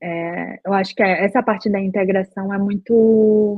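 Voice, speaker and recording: Here is a woman with an unremarkable speaking voice at medium pitch. She speaks at a fairly slow pace. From Brazil, Belém do Pará. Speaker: software QA engineer. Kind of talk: casual interview.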